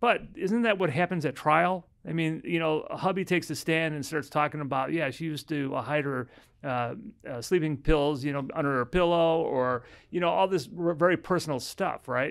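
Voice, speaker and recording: A man speaks at a moderate pace with an American accent, his pitch fairly high and its variation ordinary. The background is quiet. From US Midwest (Chicago). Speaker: family law attorney. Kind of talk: casual chat. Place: office. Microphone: studio mic.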